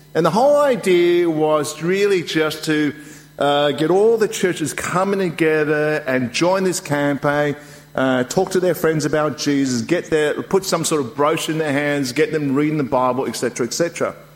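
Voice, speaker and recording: Through noticeable background noise, a man speaks at a moderate pace with a fairly high pitch, ordinary pitch variation and very even loudness. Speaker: preacher. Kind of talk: sermon. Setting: church.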